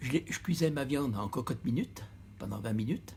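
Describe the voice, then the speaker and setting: A man with vocal fry speaks at a fairly quick pace. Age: 80s+. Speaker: retired butcher. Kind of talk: interview.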